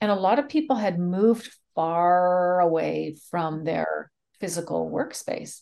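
Speaking with a Canadian accent, a woman uses a plain, everyday voice at a fairly low pitch, with lively intonation and a fairly slow pace. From Canada. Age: 50s. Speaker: speaker, trainer and mediator. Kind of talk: interview.

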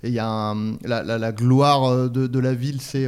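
A medium-pitched man's voice in monotone, flat intonation. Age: 40s. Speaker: podcast co-host. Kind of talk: casual chat about comedy films.

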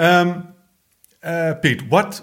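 A man speaks at a slow pace.

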